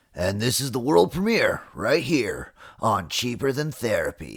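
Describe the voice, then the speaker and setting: Putting on a character voice, a man speaks at a medium pitch. His pace is moderate. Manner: smooth, announcer-like.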